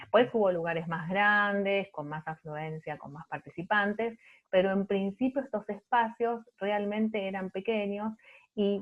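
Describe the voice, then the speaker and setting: A woman with a medium pitch speaks at a fairly slow pace, showing ordinary pitch variation. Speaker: art researcher. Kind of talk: panel talk.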